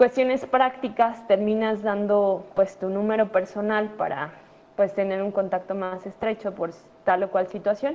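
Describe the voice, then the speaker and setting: A woman's medium-pitched voice, fairly even in intonation, at a fairly slow pace. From Mexico City. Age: 30s. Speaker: doctor. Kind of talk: conference talk to students. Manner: halting, many fillers.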